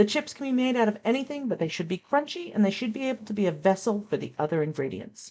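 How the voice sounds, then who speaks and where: A woman's fairly high voice with an American accent, vocal fry and very wide pitch swings, at a fairly quick pace. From United States. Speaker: cooking channel host. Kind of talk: channel intro talk to camera.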